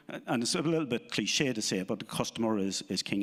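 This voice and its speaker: On a very clean recording with a silent background, a man talks at a very fast pace with an Irish accent. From Ireland. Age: 50s. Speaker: insurance business owner. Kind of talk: live interview. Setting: stage with audience.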